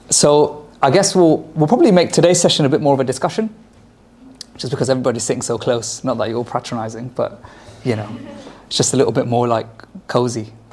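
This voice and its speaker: Noticeable background noise sits behind a man speaking at medium pitch. He talks very fast with lively intonation. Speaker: lecturer on Islamic history. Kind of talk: lecture. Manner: loud; hesitant fillers.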